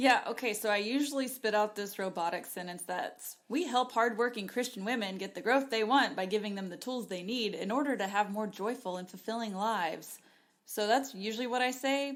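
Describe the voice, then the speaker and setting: In a plain, everyday voice, a woman speaks at a fairly quick pace with hardly any pauses, a fairly high pitch and ordinary pitch variation. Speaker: podcast co-host.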